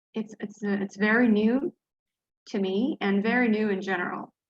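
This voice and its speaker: Speaking with an Arabic accent, a woman keeps a medium pitch and fairly even intonation. She talks at a fairly slow pace. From Dubai, Gulf region. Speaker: flash fiction writer and teacher. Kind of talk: interview. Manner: hesitant, many fillers.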